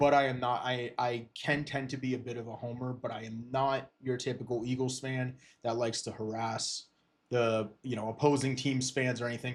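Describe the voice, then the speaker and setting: A man with a Philadelphia accent speaks in a monotone, flat way at a moderate pace. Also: medium pitch for a man. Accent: Philadelphia-area American. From eastern Pennsylvania, Lehigh Valley. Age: 20s. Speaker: sports podcaster and streamer. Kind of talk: casual livestream talk. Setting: livestream on camera. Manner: hesitant, many fillers and restarts.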